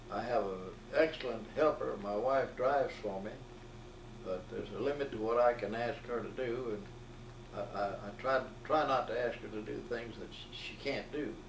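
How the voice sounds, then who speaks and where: Speaking with an Alabama accent, a man leaves long, frequent pauses. Noticeable background noise and audible room echo are present. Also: medium pitch for a man, ordinary pitch variation, moderate pace. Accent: Southern US, Alabama. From US South, Alabama Gulf Coast. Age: 80s+. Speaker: retired banker. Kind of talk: oral history interview.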